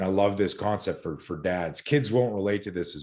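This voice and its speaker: A man with a Canadian accent against a quiet background. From Canada. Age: 60s. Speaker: self-defense and fear management expert. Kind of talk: podcast interview. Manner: animated.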